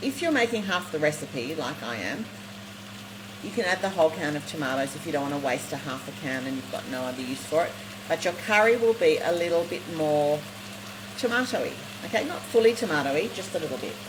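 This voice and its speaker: At a fairly quick pace, an animated voice with an Australian accent comes through over noticeable background noise. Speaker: cooking show host. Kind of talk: live cooking demonstration. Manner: fast.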